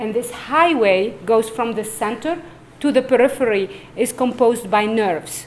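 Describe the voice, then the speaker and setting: Here is a woman with a fairly high pitch. She has an unremarkable speaking voice. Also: ordinary pitch variation, moderate pace. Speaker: neurologist. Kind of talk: lecture.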